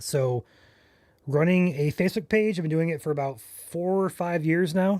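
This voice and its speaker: A man with an unremarkable speaking voice, a fairly high pitch, ordinary pitch variation and a fairly slow pace. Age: 20s. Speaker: storm chaser and live weather streamer. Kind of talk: live weather coverage Q&A. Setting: live stream.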